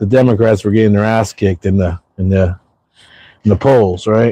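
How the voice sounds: The voice belongs to a man and sits at a fairly low pitch. A dark, mellow tone colors it. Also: fairly even intonation, moderate pace.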